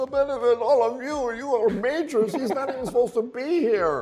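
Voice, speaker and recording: A man speaks in a put-on character voice with a German accent, his pitch extremely high. His pace is fairly quick, with ordinary pitch variation over light background noise. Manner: harsh, scolding.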